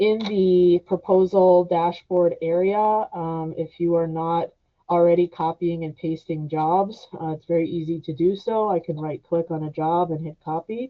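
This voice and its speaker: A woman with an unremarkable speaking voice talks at a moderate pace. Her pitch is fairly low and her intonation fairly even. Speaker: software trainer. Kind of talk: webinar tutorial. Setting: online webinar.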